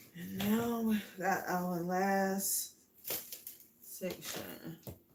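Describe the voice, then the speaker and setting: A woman speaks at a very slow pace in a medium pitch with flat, monotone intonation. The room echo is audible and the background noise is noticeable. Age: old. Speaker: DIY craft channel host. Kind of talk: live craft tutorial. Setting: livestream. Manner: casual, chatty.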